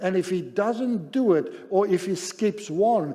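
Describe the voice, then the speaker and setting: With ordinary pitch variation, a man speaks in a dark, mellow tone. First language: not English; Zulu is second language. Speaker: pastor. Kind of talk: sermon.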